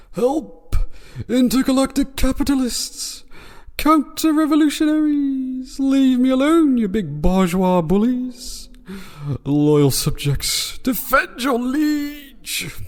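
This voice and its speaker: Over light background noise, a man does a put-on character voice at an extremely high pitch and a fairly slow pace. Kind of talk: pompous, grandiose. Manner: squealing, panicked.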